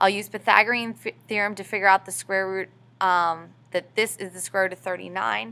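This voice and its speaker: At a fairly quick pace, a woman speaks at medium pitch with a bright, sharp tone. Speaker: high school math teacher. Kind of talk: tutorial. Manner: fast.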